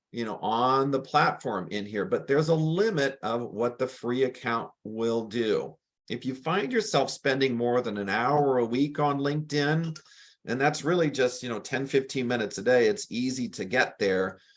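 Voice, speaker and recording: A normal speaking voice goes at a moderate pace with ordinary pitch variation. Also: man, medium pitch for a man. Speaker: business trainer. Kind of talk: webinar presentation.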